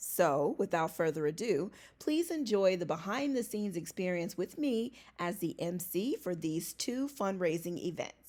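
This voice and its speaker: With a plain, everyday voice, a woman speaks at medium pitch and a moderate pace using lively intonation, in a very clean recording with a silent background. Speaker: vlogger and event emcee. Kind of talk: casual vlog.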